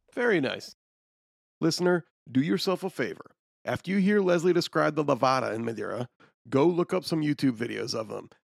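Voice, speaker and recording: With an American accent, a man speaks at a fairly quick pace in a fairly high pitch, using lively intonation, vocal fry and long, frequent pauses, on a very clean recording with a silent background and a dry, close sound with no echo. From Illinois, US. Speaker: podcast producer. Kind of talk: podcast intro and chat.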